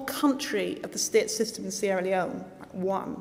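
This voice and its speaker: Against noticeable background noise, a woman with a Northern Irish accent talks at a moderate pace with ordinary pitch variation. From Northern Ireland. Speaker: guest speaker at school ceremony. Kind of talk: speech.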